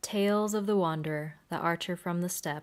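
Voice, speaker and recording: A woman's plain, everyday voice at a fairly quick pace. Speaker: voice actress. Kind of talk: audiobook narration.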